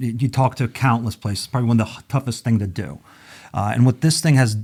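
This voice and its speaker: The speaker is a man with a medium pitch. There is some breathiness in his voice. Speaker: magazine publisher. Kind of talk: podcast interview.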